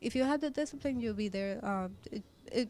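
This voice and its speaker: A woman speaks in a Spanish accent at a high pitch. Her pitch variation is ordinary. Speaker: fashion designer. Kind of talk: interview. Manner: halting.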